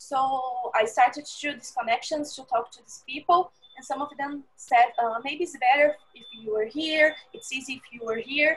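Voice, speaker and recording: Against a quiet background, a woman with a Portuguese accent speaks in a high pitch at a moderate pace with hardly any pauses. Her pitch variation is ordinary, while her loudness swings widely. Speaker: food security specialist. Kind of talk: interview. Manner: halting. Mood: warm, enthusiastic. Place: home room. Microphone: earbuds.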